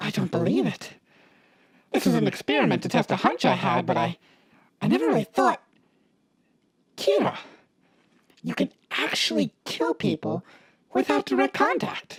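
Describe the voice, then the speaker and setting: The speaker uses a put-on character voice at a moderate pace, with long, frequent pauses. The sound is dry and close, with no echo. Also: man, medium pitch for a man. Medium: audio drama. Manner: measured, analytical.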